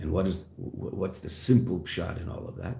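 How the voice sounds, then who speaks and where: A man's very deep, low voice, somewhat breathy, with ordinary pitch variation, a moderate pace and audible room echo. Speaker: rabbi teaching Chassidus. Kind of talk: lecture. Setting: classroom.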